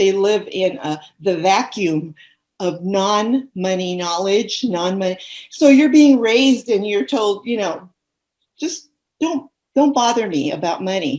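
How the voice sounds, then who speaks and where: A woman at a medium pitch, fairly slow, with very wide pitch swings. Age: 70s. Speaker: money coach. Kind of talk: interview.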